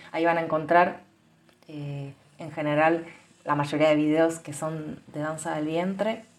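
With audible room echo behind her, a woman speaks fairly slowly in a very deep, low pitch, her intonation monotone and flat, with long, frequent pauses and big swings in loudness. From Argentina. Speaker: belly dance teacher and podcaster. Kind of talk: casual monologue; guided meditation.

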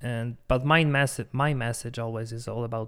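A man with a Polish accent. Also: very clean recording, silent background. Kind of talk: casual chat.

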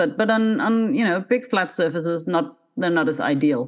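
A woman speaks at a moderate pace with a Scandinavian accent and a medium pitch. Her pitch swings very widely, over a quiet background. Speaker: miniature painter and content creator. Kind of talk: casual interview chat.

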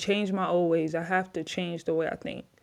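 A woman speaks with an American accent in a dark, mellow tone at a fairly low pitch. Her intonation stays fairly even against a quiet background. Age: 20s. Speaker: former basketball player, podcaster. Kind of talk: casual personal testimony to camera. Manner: casual with filler words and laughs.

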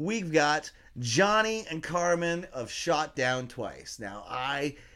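A fairly high-pitched man's voice, animated in tone with very wide pitch swings, on a very clean recording against a silent background. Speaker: podcast host. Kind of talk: casual chat.

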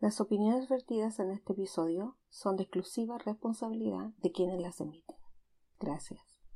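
A woman's dark, mellow voice at a medium pitch, at a moderate pace. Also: ordinary pitch variation. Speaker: knitting podcast host. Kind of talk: casual chat.

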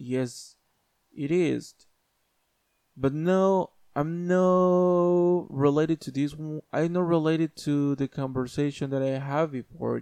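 A man with a non-native accent speaks very slowly with long, frequent pauses in a fairly high-pitched voice with a dark, mellow tone, recorded dry and close with no echo against a quiet background. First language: not English. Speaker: YouTuber. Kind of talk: casual monologue. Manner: halting.

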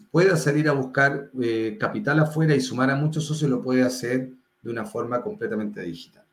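This man's voice sits at a fairly high pitch and sounds somewhat breathy. He speaks at a moderate pace. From Chile, Viña del Mar (Valparaíso region). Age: 40s. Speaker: startup founder and CEO. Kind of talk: interview. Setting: video call.

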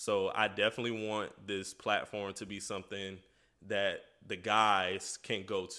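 A man's fairly low voice with a bright, sharp tone, in a very clean recording with a silent background. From US South, Florida (St. Petersburg). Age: 20s. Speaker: podcast host. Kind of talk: solo podcast monologue. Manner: casual, with many fillers.

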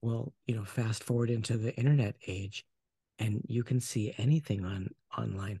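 In an American accent, this dark, mellow, somewhat breathy voice moves at a moderate pace with ordinary pitch variation, recorded dry and close with no echo. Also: man, medium pitch for a man. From US Pacific Northwest, Portland area. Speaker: relationship coach. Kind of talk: interview, casual conversation.

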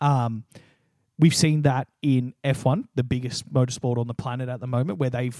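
With an Australian accent, a man talks at a fairly quick pace and medium pitch in a dry, close sound with no echo. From Australia, New South Wales. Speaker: podcast co-host. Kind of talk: casual chat.

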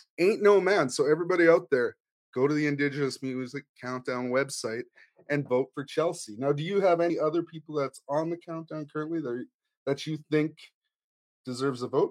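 A man speaks at a fairly quick pace in a plain, everyday voice, with ordinary pitch variation and a dry, close sound with no echo. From Canadian Prairies First Nation. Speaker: musician and podcast co-host. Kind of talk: casual chat.

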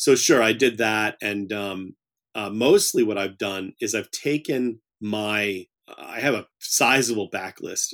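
In a dry, close recording with no echo, very clean and with a silent background, a man with an unremarkable speaking voice talks at a fairly slow pace and fairly low pitch, his intonation fairly even and his loudness swinging widely. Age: 50s. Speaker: horror author. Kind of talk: interview.

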